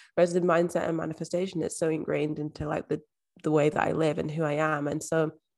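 A woman with a Scottish accent talks at a very fast pace with a fairly low pitch. Her intonation stays fairly even, and the recording is very clean, with a silent background. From Scotland, Edinburgh. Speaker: mindset and manifestation coach. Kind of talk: interview conversation.

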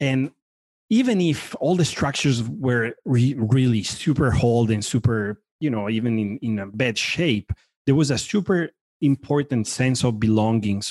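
A man speaks at a medium pitch with an Italian accent and ordinary pitch variation. His pace is moderate, and the sound is dry and close with no echo. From Italy. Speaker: furniture design director. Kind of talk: casual interview. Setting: video call.

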